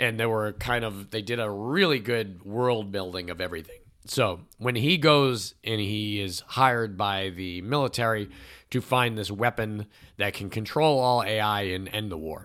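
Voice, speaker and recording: Ordinary pitch movement and a moderate pace in a plain, everyday voice, recorded very cleanly against a silent background. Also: man, fairly low pitch for a man. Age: 40s. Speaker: podcast co-host. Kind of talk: casual chat.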